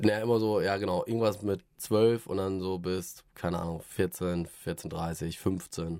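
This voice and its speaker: Speaking at a very slow pace with hardly any pauses, a man has a very deep, low voice, a dark, mellow tone and fairly even intonation. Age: 30s. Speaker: podcast host, father of a toddler. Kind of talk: casual chat.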